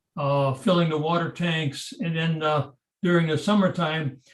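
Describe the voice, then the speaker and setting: A somewhat breathy voice at a fairly slow pace with fairly even intonation. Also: man. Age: 80s+. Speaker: retired field engineer giving a talk. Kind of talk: slide presentation. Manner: hesitant, many fillers.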